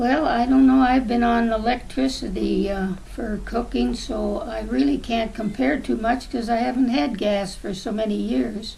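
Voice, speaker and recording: A woman's fairly high voice with hardly any pauses, plus noticeable background noise and audible room echo. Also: moderate pace. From southwestern Ontario, Canada. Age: 80s+. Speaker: grandmother interviewed about the past. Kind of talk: oral history interview. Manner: hesitant, with many fillers.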